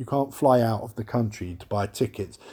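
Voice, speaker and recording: In a London accent, a man speaks at a moderate pace with a dark, mellow tone and ordinary pitch variation. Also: very clean recording, silent background. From London, England. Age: 30s. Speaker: podcast host. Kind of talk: solo monologue rant. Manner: animated.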